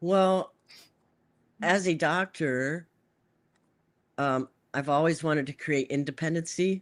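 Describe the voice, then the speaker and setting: Very clean and silent in the background, this recording has very even loudness, a fairly slow pace and long, frequent pauses. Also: woman, very deep, low pitch for a woman, ordinary pitch variation. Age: 60s. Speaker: doctor and device inventor. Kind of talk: casual interview. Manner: halting, with frequent repetitions.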